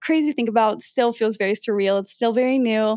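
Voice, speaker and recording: Recorded very cleanly against a silent background with a dry, close sound and no echo, a woman speaks very fast at a fairly high pitch. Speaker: podcast host. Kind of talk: solo casual monologue.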